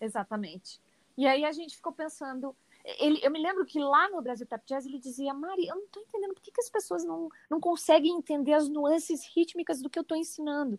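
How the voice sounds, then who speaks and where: A woman's high voice at a fairly quick pace, with lively intonation, big swings in loudness and a dry, close sound with no echo. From Paraná interior, Brazil. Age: 50s. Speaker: dance teacher and cultural producer. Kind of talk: interview.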